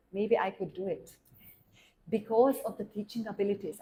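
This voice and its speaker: A somewhat breathy woman's voice, fairly high in pitch, with a Hungarian accent. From Hungary. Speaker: German teacher and classical Indian dancer. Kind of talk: interview. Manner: halting.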